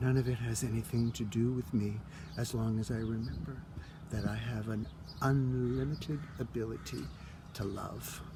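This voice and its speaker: Long, frequent pauses break up a man's speech at a moderate pace. Audible room echo is present. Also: medium pitch for a man, ordinary pitch variation. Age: 60s. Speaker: spiritual vlogger. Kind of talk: casual monologue. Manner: animated.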